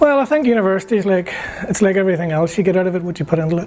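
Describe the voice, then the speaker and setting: A man speaks in a high voice over noticeable background noise. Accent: Northern Irish. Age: 60s. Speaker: graduate student, former politician. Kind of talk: interview. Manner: halting.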